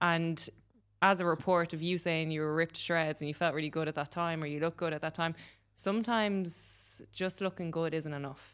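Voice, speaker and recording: A woman with an Irish accent talks at a fairly quick pace and fairly low pitch against a quiet background. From Ireland. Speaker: podcast host. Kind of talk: casual chat. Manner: animated.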